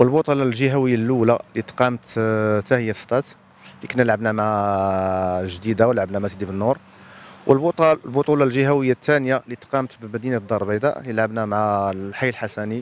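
At a moderate pace, a man talks at a medium pitch with ordinary pitch variation, the sound dry with no echo. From Morocco. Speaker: high school handball coach and teacher; school handball team coach. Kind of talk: interview. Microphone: handheld.

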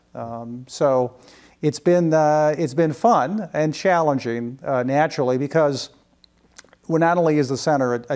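A man with an American accent, fairly high in pitch with ordinary pitch variation, against a quiet background. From US Midwest, Chicago area. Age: 60s. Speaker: UFO research organization director. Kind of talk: interview. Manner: halting, many fillers. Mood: calm, reflective. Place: home room. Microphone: lapel.

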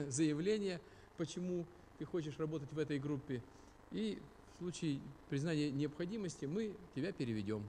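A man with a dark, mellow tone speaks at a moderate pace over light background noise. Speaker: speaker. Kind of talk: lecture. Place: hall. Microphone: studio mic.

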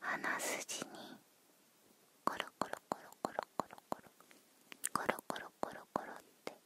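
Whispering and soft-spoken, a woman goes at a very slow pace with long, frequent pauses, the sound dry with no echo despite loud background noise. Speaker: ASMR creator. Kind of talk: soft ASMR role-play talk. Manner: soft close-mic ASMR whisper. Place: home room. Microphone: studio mic.

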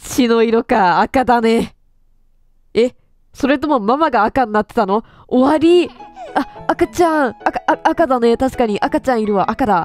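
A woman's high-pitched, lively voice at a fairly slow pace, with music in the background. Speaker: game streamer. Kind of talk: horror game commentary with story reading.

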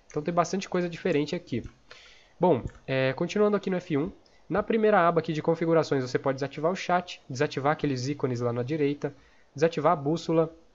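Pitch varies in an ordinary way as the speech moves fairly quickly. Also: man. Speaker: gaming youtuber and game server owner. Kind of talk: tutorial. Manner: casual, filler-heavy.

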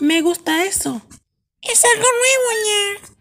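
In a cartoonish character voice with an extremely high pitch, the speaker goes at a fairly slow pace while faint music plays in the background. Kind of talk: cartoon dub acting. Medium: fan dub. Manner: excitable, ends phrases with cat sound.

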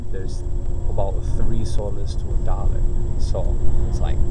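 Music plays in the background as a man talks. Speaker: traveler vlogger. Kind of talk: casual vlog chat. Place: bus. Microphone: phone near.

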